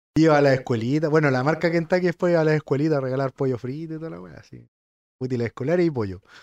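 With a Chilean accent, a man speaks at a very fast pace in a fairly high pitch, his loudness swinging widely. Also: ordinary pitch variation, quiet background. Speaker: podcast co-host. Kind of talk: casual chat.

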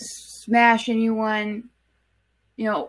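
Very slow, monotone, flat speech from a woman with a fairly high pitch. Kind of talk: casual chat.

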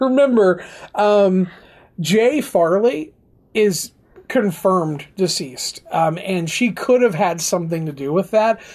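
A man's high-pitched voice at a very slow pace, with lively intonation and long, frequent pauses. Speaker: podcast host.

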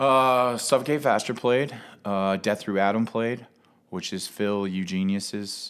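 Man with a plain, everyday voice, an American accent, fairly low pitch and ordinary pitch variation on a very clean recording with a silent background. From Cincinnati, Ohio. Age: 30s. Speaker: punk musician and show booker. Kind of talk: casual chat.

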